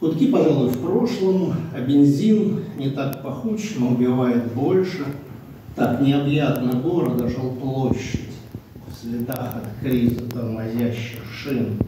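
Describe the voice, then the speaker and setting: A man speaks at a very slow pace. Strong room echo and noticeable background noise surround him. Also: ordinary pitch variation. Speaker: poet. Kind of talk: poetry reading and short talk. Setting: literary seminar with audience. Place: meeting room. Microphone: camera far.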